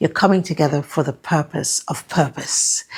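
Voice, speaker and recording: A woman speaks in a somewhat breathy, fairly low voice. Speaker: women's life coach. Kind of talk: motivational talk to camera.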